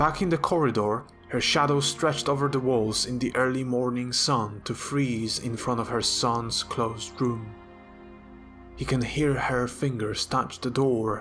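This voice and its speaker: A man with a medium-pitched voice speaks at a fairly slow pace and with fairly even intonation while music plays in the background. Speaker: novelist reading own work. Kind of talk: fiction reading.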